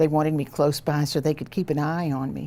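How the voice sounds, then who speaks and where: In a Southern Louisiana accent, a woman speaks with a very deep, low pitch. Her tone is dark and mellow, and her intonation is fairly even. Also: very clean recording, silent background. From Louisiana, St. Charles Parish. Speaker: retired federal judge. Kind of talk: oral history interview.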